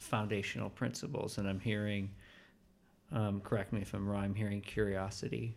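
A plain, everyday voice belongs to a man who speaks at a moderate pace with a fairly low pitch. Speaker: podcast host. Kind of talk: interview. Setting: in-person conversation.

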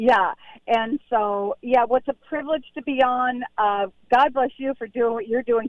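Her voice sits high for a woman, moving at a fairly slow pace with fairly even intonation. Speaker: pediatrician and author. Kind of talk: interview about her book.

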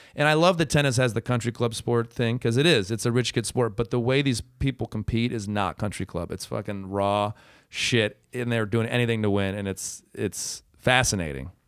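A man uses a normal speaking voice with an American accent, medium pitch and ordinary pitch variation, talking at a moderate pace with hardly any pauses on a very clean recording with a silent background. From Michigan, US. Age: 30s. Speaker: former pro tennis player and comedian. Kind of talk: casual chat.

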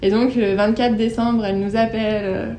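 A woman's fairly high voice, fairly even in intonation, comes through noticeable background noise. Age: 20s. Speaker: dog owner. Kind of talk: casual interview testimony.

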